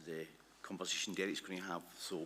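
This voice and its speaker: Speaking at a fairly quick pace, a man has a very deep, low pitch and fairly even intonation. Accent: Glasgow. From Scotland, Glasgow. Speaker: conference presenter. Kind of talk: presentation. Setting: conference hall with livestream. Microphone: initially too far from mic, livestream struggling.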